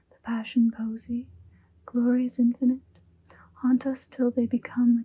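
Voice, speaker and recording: The voice is whispering. It is soft-spoken. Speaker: ASMR creator reading poetry. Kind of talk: poetry reading. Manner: whispered, soft-spoken.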